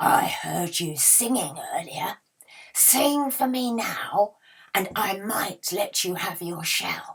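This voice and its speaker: In a put-on character voice, a woman speaks very slowly with a raspy sound at medium pitch. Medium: read story. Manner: gruff, greedy.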